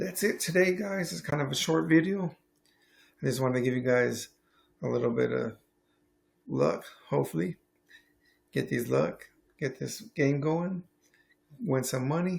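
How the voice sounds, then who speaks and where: Speaking at a moderate pace, a man with a medium pitch and a somewhat breathy voice shows very wide pitch swings. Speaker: sports betting picks youtuber. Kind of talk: casual sports betting vlog. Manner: casual, filler-heavy.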